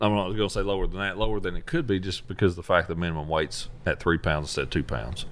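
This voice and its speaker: A man with a Tennessee accent talks at a very fast pace in a very deep, low voice with vocal fry and ordinary pitch variation. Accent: US Southern (Tennessee). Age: 30s. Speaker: professional bass angler. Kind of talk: casual interview.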